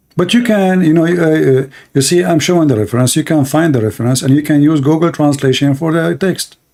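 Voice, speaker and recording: Talking at a fairly quick pace with hardly any pauses, a man uses a fairly high, dark and mellow voice, with very even loudness and ordinary pitch variation. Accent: Arabic. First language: Arabic. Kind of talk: live call-in debate.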